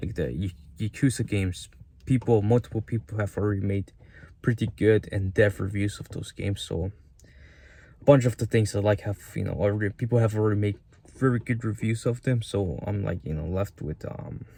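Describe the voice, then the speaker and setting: A man's fairly low, somewhat breathy voice with a dark, mellow tone and a non-native accent, fairly quick, with ordinary pitch variation, on a very clean recording with a silent background. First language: not English. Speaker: YouTuber. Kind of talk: casual vlog monologue. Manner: halting, many fillers.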